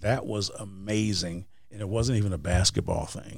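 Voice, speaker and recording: In a very clean recording over a silent background, a man's voice sounds somewhat breathy. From Wisconsin. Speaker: motivational speaker and author. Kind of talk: interview.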